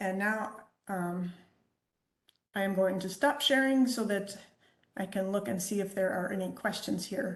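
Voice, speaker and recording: Somewhat breathy, a woman speaks at a fairly slow pace and medium pitch, with ordinary pitch variation and long, frequent pauses. Audible room echo is present. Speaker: quality engineer presenting a webinar. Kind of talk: lecture. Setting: video call.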